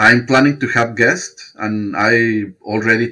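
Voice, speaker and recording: With a Spanish accent, a man speaks at a medium pitch in a bright, sharp tone. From Mexico. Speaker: podcaster. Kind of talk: interview. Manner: halting.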